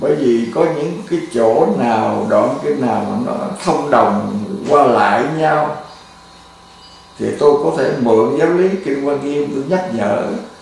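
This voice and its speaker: A man at a very slow pace, in strong room echo with light background noise. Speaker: Buddhist monk teacher. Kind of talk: sermon. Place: home room.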